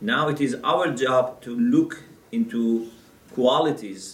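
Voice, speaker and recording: Audible room echo surrounds a man as he talks. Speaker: religious lecturer. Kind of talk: lecture. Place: classroom.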